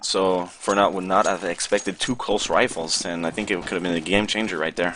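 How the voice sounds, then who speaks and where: A man with a French-Canadian accent speaks in a very deep, low pitch with monotone, flat intonation. His pace is moderate, over noticeable background noise. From Quebec. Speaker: esports analyst. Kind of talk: live commentary.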